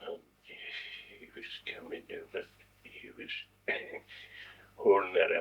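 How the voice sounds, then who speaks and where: This man speaks with a Scottish Highland accent. His pace is very slow. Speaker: war veteran. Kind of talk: interview answer.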